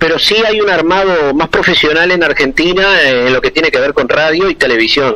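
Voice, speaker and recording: Over noticeable background noise, a man talks at a fairly quick pace with a high pitch, ordinary pitch variation and very even loudness. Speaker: commercial announcer. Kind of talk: interview answer. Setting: phone line. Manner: talkative.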